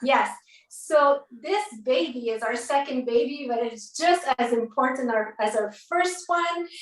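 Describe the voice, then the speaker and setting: Speaking at a fairly slow pace with a French accent, a woman sounds animated, her high-pitched voice lively in intonation, with noticeable background noise behind her. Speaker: network marketing book compiler and event host. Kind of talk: event speech, live-streamed book launch. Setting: live stream video call.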